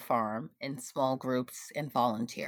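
A woman with a very deep, low pitch and ordinary pitch variation is heard on a very clean recording with a silent background. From Guyana, moved to US at age seven. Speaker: community farmer. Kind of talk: interview testimony.

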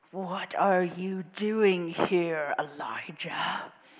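At a very slow pace, a female-sounding put-on character voice speaks at a middle pitch. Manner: gruff, confrontational.

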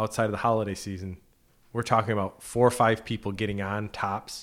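A man with a plain, everyday voice talks at a fairly quick pace, fairly low in pitch. His intonation is fairly even, and the recording is very clean with a silent background. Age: 40s. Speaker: financial advisor. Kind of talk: casual chat. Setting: studio.

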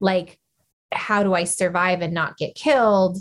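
Speaking with an American accent, a woman's voice sits at a medium pitch. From Arizona, rural. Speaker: nonprofit founder, former juvenile correction officer. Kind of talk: interview.

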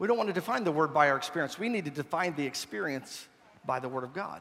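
A man talks very fast. His tone is warm. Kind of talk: sermon. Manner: animated, repetitive pulpit delivery with call-and-response; warm, conversational, mixing humor and altar-call urgency.

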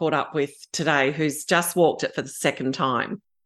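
Over a quiet background, a woman talks with an Australian accent. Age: 50s. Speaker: aspiring pilgrim. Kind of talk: casual chat.

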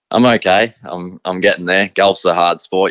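With fairly even intonation, this man speaks at a moderate pace. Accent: Australian. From Australia, Riverina (rural New South Wales). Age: 20s. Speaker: harness racing driver. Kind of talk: interview. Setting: remote interview. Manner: halting, many fillers.

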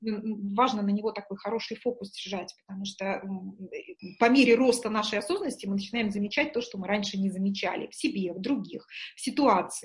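In an unremarkable speaking voice, a woman talks at a fairly quick pace with a medium pitch, ordinary pitch variation and big swings in loudness. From Murmansk, northern Russia. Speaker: executive coach and trainer. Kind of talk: interview.

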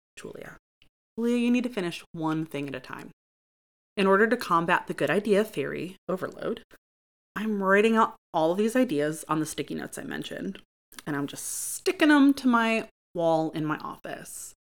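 A woman with a US Midwestern accent speaks at a moderate pace and medium pitch. Her voice makes very wide pitch swings and big swings in loudness. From Michigan, US (Grand Ledge, near Lansing). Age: 30s. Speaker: podcast host. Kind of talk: casual monologue.

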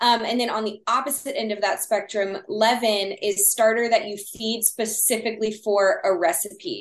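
Her pitch fairly high, a woman talks at a moderate pace with ordinary pitch variation and hardly any pauses. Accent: Texan. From Texas. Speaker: sourdough baker guest. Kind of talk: casual interview chat.

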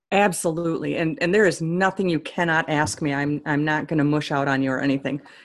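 A woman's very deep, low voice with an American accent, very fast and with hardly any pauses, on a very clean recording with a silent background. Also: ordinary pitch variation. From Onalaska, Wisconsin. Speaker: author and humor speaker. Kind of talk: casual interview chat.

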